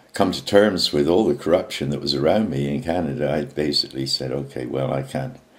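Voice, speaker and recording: This man talks with vocal fry at a very deep, low pitch. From England. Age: 70s. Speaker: activist. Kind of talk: video message monologue. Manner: halting, many fillers.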